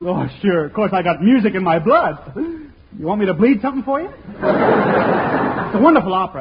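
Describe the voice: A man does a put-on character voice, pitched high for a man with big pitch swings, a husky, rough edge and a moderate pace.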